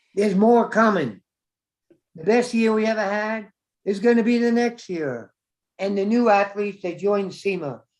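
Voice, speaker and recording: Pausing long and often, a man speaks at a high pitch with ordinary pitch variation. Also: moderate pace. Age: 80s+. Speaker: track coach. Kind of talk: interview.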